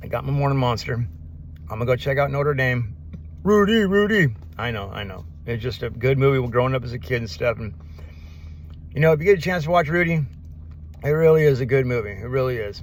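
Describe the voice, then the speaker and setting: A man with a medium pitch talks at a very fast pace, somewhat breathy, with very wide pitch swings. Long, frequent pauses interrupt him, and audible room echo fills the recording. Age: 50s. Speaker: vlogger. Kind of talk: casual vlog monologue. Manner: fast, words blending together.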